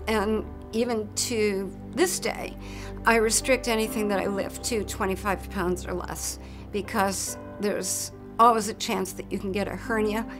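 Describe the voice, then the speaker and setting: A woman at a moderate pace, with audible room echo and music in the background. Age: 60s. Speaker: cancer survivor. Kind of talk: testimony.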